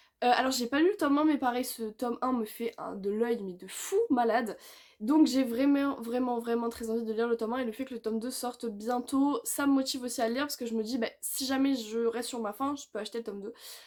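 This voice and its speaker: A loud woman's voice, high in pitch, at a fairly quick pace. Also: ordinary pitch variation. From southern France. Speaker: booktuber. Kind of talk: casual monologue.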